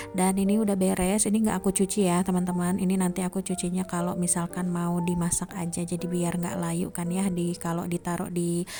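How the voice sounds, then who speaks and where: A soft-spoken woman talks at a fairly quick pace and a fairly low pitch. Her intonation is monotone and flat. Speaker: housewife vlogger. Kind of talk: vlog voice-over narration.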